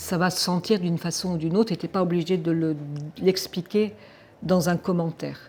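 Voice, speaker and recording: On a very clean recording with a silent background, a woman's somewhat breathy voice has a dark, mellow tone and fairly even intonation. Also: moderate pace. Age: 60s. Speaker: wildlife filmmaker. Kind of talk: interview. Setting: film festival. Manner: hesitant, many filler sounds.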